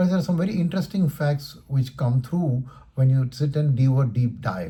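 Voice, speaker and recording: This man talks at a fairly quick pace with lively intonation, a medium pitch and a dark, mellow tone. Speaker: stock market commentator. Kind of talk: market commentary video. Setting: recording at home in his room. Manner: trying to talk faster and louder.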